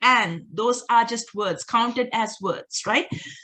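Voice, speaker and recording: Bright and sharp in tone, a woman speaks with a Sri Lankan accent at a fairly high pitch. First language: Sinhala. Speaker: doctoral researcher, workshop presenter. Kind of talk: workshop presentation. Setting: online video call.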